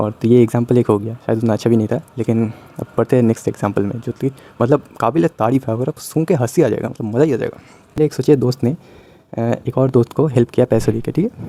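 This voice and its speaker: A man speaks at a medium pitch with ordinary pitch variation and a dark, mellow tone. The sound is dry and close, with no echo. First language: Bengali (speaking Hindi). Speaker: YouTuber. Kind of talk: casual vlog monologue. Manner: hesitant, many fillers.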